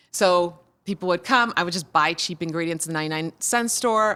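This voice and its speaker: A woman speaks at a fairly low pitch and a fairly quick pace, with ordinary pitch variation. Her tone is bright and sharp on a very clean recording with a silent background. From Croatia. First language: Croatian. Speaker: comedian. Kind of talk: casual chat.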